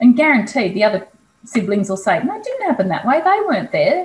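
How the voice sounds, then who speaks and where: There is audible room echo as a woman talks fairly quickly with an Australian accent. Her voice is high and swings very widely in pitch. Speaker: kinesiologist; interview guest. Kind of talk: casual interview. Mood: reflective, candid. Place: home room. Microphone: video call.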